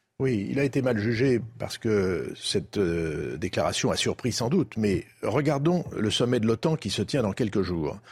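Delivered at a moderate pace, the voice carries vocal fry and very wide pitch swings. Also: man. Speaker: former diplomat. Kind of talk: TV debate.

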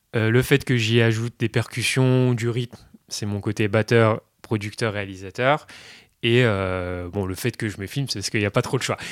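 A man's unremarkable speaking voice at medium pitch, moderate pace and fairly even intonation, with a dry, close sound, no echo, and a very clean recording over a silent background. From northern Burgundy, France. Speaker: pianist. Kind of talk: interview.

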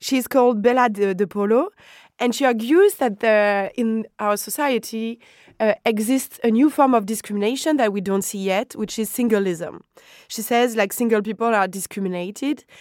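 Speaking in a French accent at a moderate pace, a woman uses a fairly high pitch with ordinary pitch variation in a very clean recording with a silent background. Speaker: podcast host. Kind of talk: interview.

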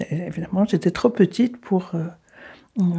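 Somewhat breathy and dark, mellow in tone, a woman speaks with ordinary pitch variation. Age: 80s+. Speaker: granddaughter of a deportee. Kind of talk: interview. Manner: halting.

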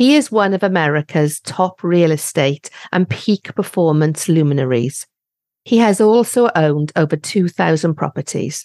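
With a British accent, a woman of fairly low pitch and a dark, mellow tone speaks at a moderate pace over a quiet background. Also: lively intonation, very even loudness, dry, close sound with no echo. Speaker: podcast host. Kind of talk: interview.

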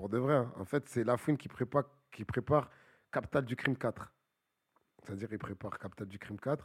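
A somewhat breathy man speaks at a medium pitch and moderate pace, with ordinary pitch variation and big swings in loudness. Long, frequent pauses break up his speech, and the sound is dry and close with no echo. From Paris suburbs, Bagneux. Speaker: rapper. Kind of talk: casual chat.

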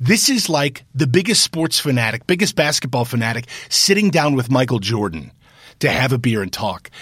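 A man with an American accent uses a normal speaking voice at a medium pitch, talking at a fairly quick pace with lively intonation. The recording is very clean and the background silent. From US Midwest, Cincinnati. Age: 30s. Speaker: former congressman and TV news anchor. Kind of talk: interview.

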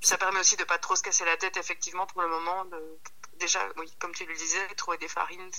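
A woman in monotone, flat intonation, against noticeable background noise. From Belgium, Centre region (Hainaut). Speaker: pasta maker and lecturer. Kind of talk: casual interview. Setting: phone call. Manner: halting, many repetitions.

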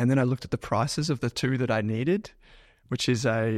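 In a very clean recording with a silent background and a dry, close sound with no echo, a man with a plain, everyday voice talks at a medium pitch and a fairly quick pace. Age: 30s. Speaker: finance podcaster and investor. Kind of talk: casual chat. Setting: office.

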